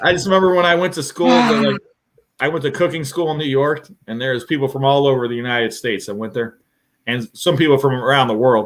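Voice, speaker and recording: A man talks very fast in a fairly high voice. His intonation is lively. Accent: Ohio. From Ohio, American Midwest.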